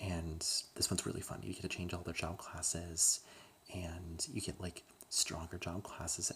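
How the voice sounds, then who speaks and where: Soft-spoken, a man talks with a very deep, low pitch. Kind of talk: ASMR ramble, casual talk to camera.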